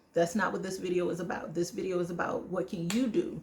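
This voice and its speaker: A woman's fairly low-pitched voice with an American accent and ordinary pitch variation over noticeable background noise. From United States. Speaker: travel vlogger. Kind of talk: casual vlog monologue. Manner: fast.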